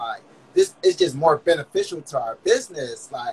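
There is light background noise as a man talks. He keeps a moderate pace and fairly even intonation. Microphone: video call.

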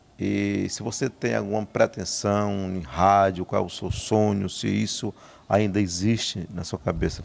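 In a plain, everyday voice, a man talks at a fairly slow pace with a fairly low pitch and ordinary pitch variation. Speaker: interviewer. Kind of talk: casual interview.

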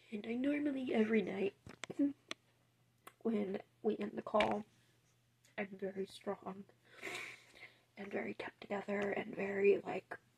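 At a fairly slow pace, the talker stops often for long pauses while noticeable background noise carries on. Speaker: vlogger. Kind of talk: emotional vlog confession.

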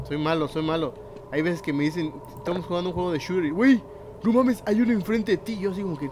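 Against noticeable background noise, a man speaks very fast in a high pitch with ordinary pitch variation. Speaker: gaming youtuber. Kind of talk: let's play commentary. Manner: animated.

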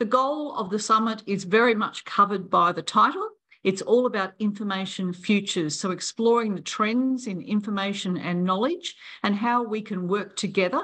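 A woman's medium-pitched voice in an Australian accent, bright and sharp in tone, with ordinary pitch variation at a moderate pace over a quiet background. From Australia, Brisbane. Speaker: president of an international library association. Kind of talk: online town hall presentation. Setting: video call. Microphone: video call.

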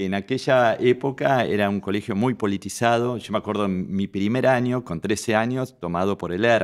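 A man with an unremarkable speaking voice talks at a moderate pace with hardly any pauses. His pitch is fairly low and his intonation fairly even, over a quiet background. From Argentina, Buenos Aires northern suburbs (Vicente López); Buenos Aires, Argentina. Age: 60s. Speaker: fashion and portrait photographer; guest. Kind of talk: interview. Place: studio. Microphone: studio mic.

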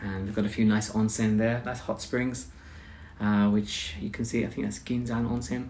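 Over music in the background, a man speaks at a moderate pace in a fairly low pitch. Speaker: presenter. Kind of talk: casual explainer over slides. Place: home room. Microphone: webcam.

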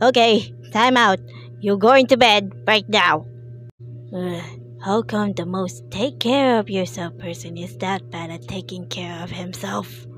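A woman puts on a character voice at a fairly slow pace. Clear music plays in the background. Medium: dub. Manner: worried, exasperated.

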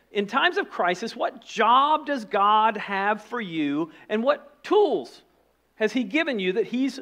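Over a quiet background, a man projects a raised voice with a bright, sharp tone at a fairly slow pace. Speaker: pastor. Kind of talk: sermon. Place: church. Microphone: headset.

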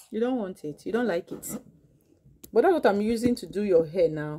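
A woman's tone is dark and mellow. Her intonation is lively. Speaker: mother vlogger. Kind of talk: casual vlog chat. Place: home room.

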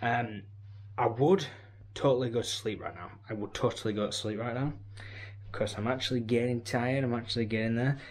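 The speaker's intonation stays fairly even. The voice sounds somewhat breathy. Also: man. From England. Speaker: vlogger. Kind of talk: casual vlog talk. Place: home room. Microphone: phone near.

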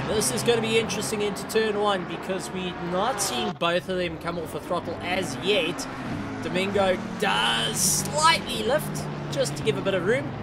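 Over noticeable background noise, the speaker uses an excited, animated tone at a moderate pace with ordinary pitch variation. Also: man, high pitch for a man. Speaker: race commentator. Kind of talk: live race commentary. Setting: commentary box. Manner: excited, animated, fluent play-by-play.

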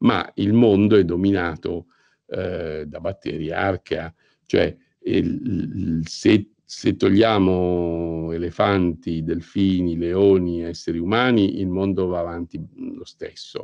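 Very slowly and with fairly even intonation, a man speaks at a very deep, low pitch while his loudness swings widely. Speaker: professor giving a lecture on climate physics. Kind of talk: lecture. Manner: halting, many fillers and repetitions.

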